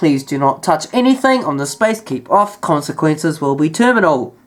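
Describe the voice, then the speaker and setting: At a moderate pace, a woman is speaking. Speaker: hobbyist vlogger. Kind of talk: casual show-and-tell vlog. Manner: halting, with many fillers.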